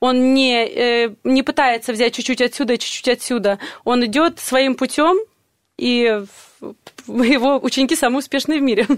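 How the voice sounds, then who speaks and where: Her pitch high, a woman speaks with long, frequent pauses. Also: ordinary pitch variation, moderate pace, very even loudness. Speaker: vocal teacher guest. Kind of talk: radio interview.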